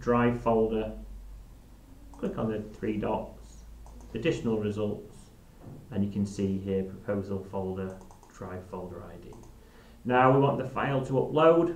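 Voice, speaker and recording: Audible room echo hangs around the voice. It proceeds at a moderate pace, and its pitch varies in an ordinary way. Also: man. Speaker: software trainer. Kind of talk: live software demo tutorial. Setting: live stream.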